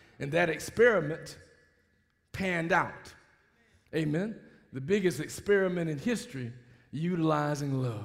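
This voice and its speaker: A man speaks at a moderate pace with lively intonation and a fairly high pitch, leaving long, frequent pauses amid audible room echo. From US South, Mobile, Alabama. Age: 60s. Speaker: pastor. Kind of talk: sermon. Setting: church.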